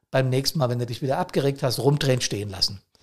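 Somewhat breathy male voice with ordinary pitch variation. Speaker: podcast host, fire service officer. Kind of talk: solo podcast monologue. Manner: hectic; frequent fillers and repetitions.

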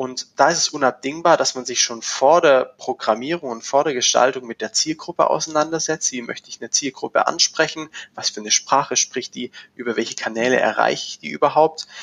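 A man talks at a fairly quick pace, with big swings in loudness. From Swabia, near Stuttgart. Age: young. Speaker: agency managing director. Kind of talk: casual interview. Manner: hesitant, many fillers.

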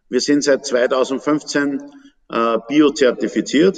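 A man talks in an unremarkable speaking voice, fairly high in pitch, with ordinary pitch variation. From Upper Austria. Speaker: fruit brandy distiller. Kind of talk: casual interview.

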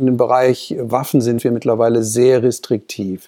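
A man speaks at a medium pitch and a fairly slow pace. His tone is dark and mellow. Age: 50s. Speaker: corporate spokesperson. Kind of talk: interview.

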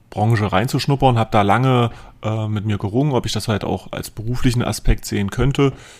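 In a very clean recording with a silent background, a man talks at a fairly quick pace in a normal speaking voice with fairly even intonation. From southern Saxony-Anhalt, near Eisleben. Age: 20s. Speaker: financial adviser and podcast host. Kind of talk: casual chat.

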